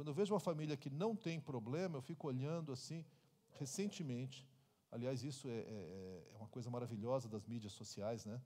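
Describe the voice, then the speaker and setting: This man has a dark, mellow tone and a medium pitch. He talks at a fairly quick pace with lively intonation. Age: 60s. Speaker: pastor. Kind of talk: Q&A answer at church conference.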